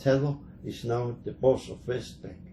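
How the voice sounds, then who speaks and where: Somewhat breathy, a man speaks in a dark, mellow tone at a medium pitch with fairly even intonation. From Germany. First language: German. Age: 80s+. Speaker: Holocaust survivor. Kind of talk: interview. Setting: museum. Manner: halting.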